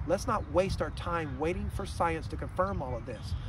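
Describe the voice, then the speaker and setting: There is noticeable background noise as a man speaks, the sound dry with no echo. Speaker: health vlogger. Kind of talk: explanatory monologue. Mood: calm, earnest. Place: waterside. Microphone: phone near.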